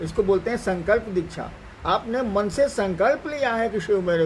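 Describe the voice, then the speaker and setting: A man speaks with ordinary pitch variation. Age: 70s. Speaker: spiritual teacher. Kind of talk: spiritual talk answering questions. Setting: live Facebook stream.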